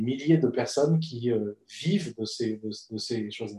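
A man speaks at a moderate pace in a somewhat breathy voice, with ordinary pitch variation. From Bolivia. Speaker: economist and researcher, management school lecturer. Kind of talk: casual interview.

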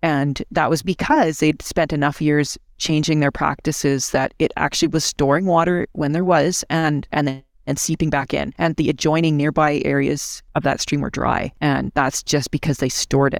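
A woman with a Canadian prairie accent speaks at a very deep, low pitch, with very even loudness and hardly any pauses. The sound is dry and close with no echo, on a very clean recording with a silent background. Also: fairly even intonation, moderate pace. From rural central Alberta, Canada. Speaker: executive director of a conservation charity. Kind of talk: interview.

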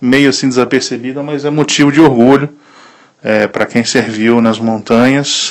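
The intonation is fairly even, with noticeable background noise. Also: man. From Italy. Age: 30s. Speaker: listener, small business owner. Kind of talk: recorded voice message. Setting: WhatsApp voice message.

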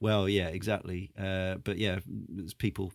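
A man with a British accent and fairly low pitch is heard in a very clean recording with a silent background. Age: 40s. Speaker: podcast host. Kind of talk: casual chat.

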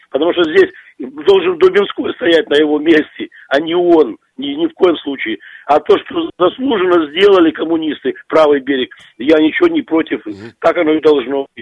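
His loudness swinging widely, a man speaks at a moderate pace in a high pitch with ordinary pitch variation. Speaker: radio caller. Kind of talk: phone-in call.

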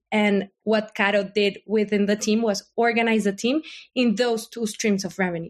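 Against a quiet background, a woman with a Spanish accent speaks at a very even loudness. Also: fairly high pitch for a woman, fairly even intonation, moderate pace. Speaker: company lawyer. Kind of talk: casual interview.

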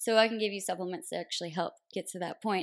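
Recorded very cleanly against a silent background, a woman with an unremarkable speaking voice and an American accent talks at a fairly quick pace, medium pitch and fairly even intonation. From US South, Tennessee (near Nashville). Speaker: naturopathic doctor. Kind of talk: interview, explaining health topics.

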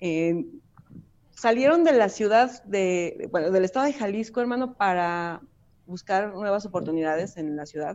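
Lively intonation marks this woman's medium-pitched voice. She speaks in a Mexican accent at a fairly slow pace. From Mexico. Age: 40s. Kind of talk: interview testimony.

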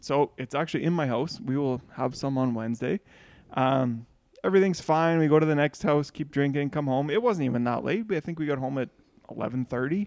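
Against a quiet background, a man talks at a fairly quick pace. He has a normal speaking voice, fairly high, with ordinary pitch variation. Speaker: podcast co-host.

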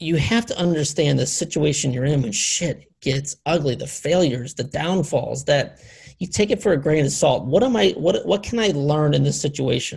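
Speaking at a moderate pace, a man with a fairly high pitch uses lively intonation and shows vocal fry. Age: 40s. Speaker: podcast host. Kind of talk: casual chat. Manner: halting.

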